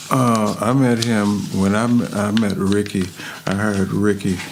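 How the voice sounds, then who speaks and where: A man with a fairly low voice speaks at a fairly slow pace and with fairly even intonation, over noticeable background noise and audible room echo. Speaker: music contractor and woodwind player. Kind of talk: interview. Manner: laid back; halting, many fillers.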